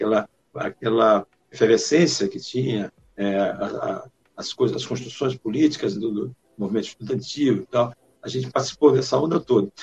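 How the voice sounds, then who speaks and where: In a dry, close sound with no echo, a man talks at a moderate pace and medium pitch, somewhat breathy, with ordinary pitch variation. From Maranhão, Brazil (rural interior). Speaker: singer-songwriter. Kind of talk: interview.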